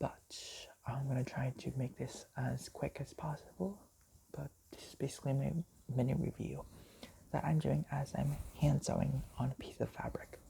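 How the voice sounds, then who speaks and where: A whisper at a moderate pace, broken by long, frequent pauses. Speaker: vlogger, movie reviewer. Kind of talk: casual review monologue. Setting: at home at night. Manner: whispering.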